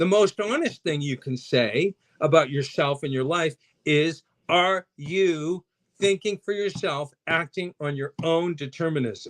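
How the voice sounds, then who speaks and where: With a dry, close sound and no echo, a man speaks at a fairly slow pace in a fairly high pitch, his tone animated and his pitch variation ordinary. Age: 60s. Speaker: mental health guest speaker. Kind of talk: podcast interview.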